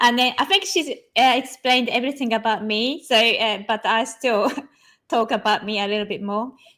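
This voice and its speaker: A woman with a Japanese accent talks at a moderate pace in a fairly high pitch. Her tone is bright and sharp, and her pitch varies in an ordinary way. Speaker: digital artist. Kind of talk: interview. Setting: online live stream. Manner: halting, many fillers.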